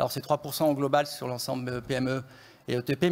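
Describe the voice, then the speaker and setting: A man with a fairly high pitch, monotone, flat intonation and a fairly quick pace. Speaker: economist. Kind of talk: conference presentation. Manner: usually speaks softly and fast; hesitant, many fillers.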